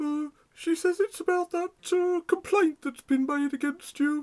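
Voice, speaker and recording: This is a cartoonish character voice, squeaky and extremely high in pitch. The pace is moderate. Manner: hesitant, halting.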